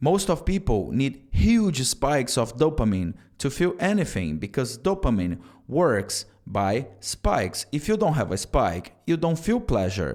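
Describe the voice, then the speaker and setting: A man's voice with vocal fry, very wide pitch swings, and very even loudness. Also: medium pitch for a man, fairly slow pace, very clean recording, silent background. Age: 30s. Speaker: self-improvement vlogger. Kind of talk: motivational talk to camera.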